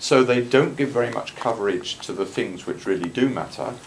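A man speaks with a British accent at a moderate pace. His pitch varies in an ordinary way, with light background noise. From UK. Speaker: politician. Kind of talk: Q&A answer. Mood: mildly indignant, explanatory. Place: meeting room. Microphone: phone near.

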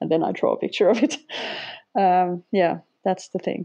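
A woman with a Finnish accent speaks in a dark, mellow tone. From Finland. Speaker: sketchnoter, former language teacher. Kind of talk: casual interview.

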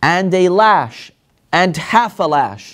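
A man is heard talking, with little behind him but a quiet background. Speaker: religious teacher. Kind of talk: lecture. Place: classroom. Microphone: lapel.

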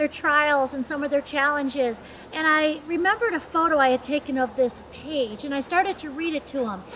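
The pitch varies in an ordinary way. Light background noise sits under the speech. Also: woman. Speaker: speaker. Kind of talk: devotional talk. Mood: warm, earnest. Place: open country. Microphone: camera far.

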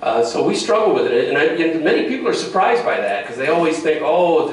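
Talking at a very fast pace with an American accent, a man is heard in a room with audible echo. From western New York, US. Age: 50s. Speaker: town supervisor; panel member. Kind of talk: public meeting remarks and answers. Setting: public meeting with audience and microphone. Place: hall. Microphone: camera far.

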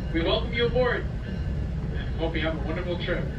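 Loud background noise accompanies a man as he speaks. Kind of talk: public announcement. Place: train.

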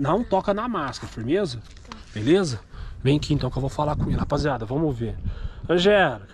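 Fairly quick and somewhat breathy, a man's voice moves through very wide pitch swings in a dry sound with no echo, over noticeable background noise. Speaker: vlogger. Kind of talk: casual vlog chat, reassuring a child. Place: street. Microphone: phone near.

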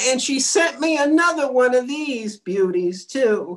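A put-on character voice with very wide pitch swings, at a fairly slow pace. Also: woman, high pitch for a woman. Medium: comedy sketch. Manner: chirpy, cheeky.

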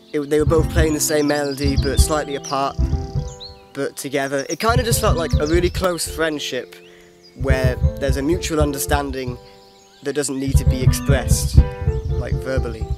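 A man at a moderate pace with long, frequent pauses, music in the background and a dry sound with no echo. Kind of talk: casual vlog chat. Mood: reflective, slightly self-mocking. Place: open country. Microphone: phone near.

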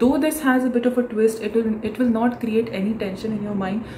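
A woman talking at a fairly quick pace, with ordinary pitch variation, light background noise and audible room echo. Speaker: book vlogger. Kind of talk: casual vlog chat. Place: home room. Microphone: phone near.

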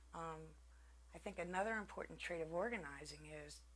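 At a moderate pace, a woman is talking. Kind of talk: interview answer. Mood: calm, reflective. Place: home room. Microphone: lapel.

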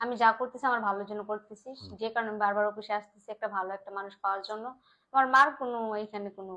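A woman speaks in an unremarkable speaking voice at a fairly high pitch with fairly even intonation. Her loudness swings widely. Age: 30s. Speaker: bride seeking a marriage partner. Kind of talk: interview. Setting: office.

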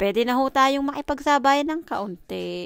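A plain, everyday voice at a fairly slow pace, with lively intonation, a quiet background and a dry sound with no echo. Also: woman. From Philippines. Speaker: vlogger. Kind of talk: casual vlog monologue. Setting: at home. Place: home room. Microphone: phone near.

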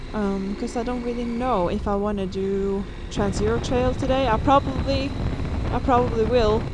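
A woman at a moderate pace, dry with no echo, over noticeable background noise. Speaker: motorcycle travel vlogger. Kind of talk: casual vlog chat. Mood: relaxed, content. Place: motorbike. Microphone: helmet.

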